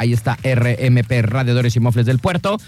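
A man's somewhat breathy voice at medium pitch, with a dark, mellow tone. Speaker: radio show co-host. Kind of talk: casual chat. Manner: animated.

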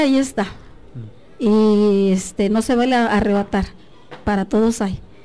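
A woman talks at a moderate pace while noticeable background noise carries on around her. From Mexico, Guerrero mountain region (Tlapa de Comonfort). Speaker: biology professor. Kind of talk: radio interview.

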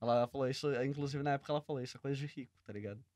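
A man's fairly high, dark, mellow voice with ordinary pitch variation and a dry, close sound with no echo. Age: 20s. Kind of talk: casual podcast chat.

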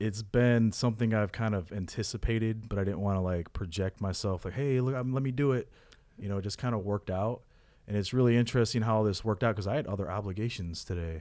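In a very clean recording with a silent background, a man with a fairly low pitch speaks at a very fast pace with ordinary pitch variation. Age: 30s. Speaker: person in addiction recovery. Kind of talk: interview.

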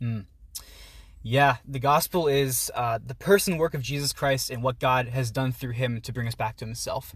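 A man speaks with an American accent at a moderate pace and medium pitch. His voice is somewhat breathy, with ordinary pitch variation. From Pittsburgh area, US. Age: 20s. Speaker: university student and writer. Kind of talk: casual chat. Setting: outdoors.

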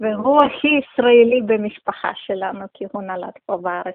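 Speaking with a Russian accent, a woman uses a fairly high pitch and ordinary pitch variation. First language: Russian (speaking Hebrew). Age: 30s. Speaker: community member, new immigrant. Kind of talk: interview. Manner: halting.

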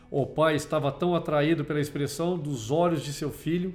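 Music plays in the background as a man talks at a fairly high pitch with ordinary pitch variation. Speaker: podcast host. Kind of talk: dramatic storytelling narration, reading a moral tale aloud as an auction scene. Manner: theatrical, building suspense with pauses and shifting voices for auctioneer and crowd; slow, solemn, emotional pacing toward the final twist.

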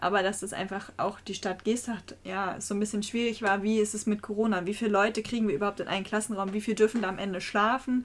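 Racing at a very fast pace with hardly any pauses, a woman speaks in a monotone, flat intonation. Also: medium pitch for a woman. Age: 20s. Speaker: trainee primary school teacher and youth board member of a sports club. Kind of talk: podcast interview. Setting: small room above the club office.

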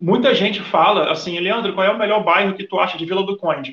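Speaking at a very fast pace in a high voice, a man with a Rio de Janeiro accent shows ordinary pitch variation. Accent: Carioca Brazilian Portuguese. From Rio de Janeiro, Brazil. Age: 30s. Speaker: Brazilian immigrant in Portugal. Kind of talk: casual chat.

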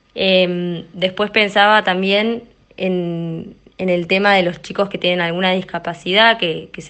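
A woman's medium-pitched voice, fairly slow and with fairly even intonation. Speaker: primary school teacher. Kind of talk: testimony. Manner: halting, repeats words.

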